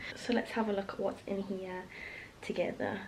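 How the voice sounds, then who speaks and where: Noticeable background noise sits behind a soft-spoken woman. Her pitch is medium, and she speaks with an English accent. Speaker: vlogger. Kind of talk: casual vlog talk.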